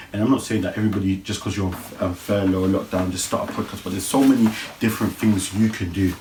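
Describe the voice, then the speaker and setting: Fairly even intonation marks this man's very deep, low voice. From London (Brixton). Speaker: podcast host. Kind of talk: casual solo podcast talk. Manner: repetitive, self-correcting.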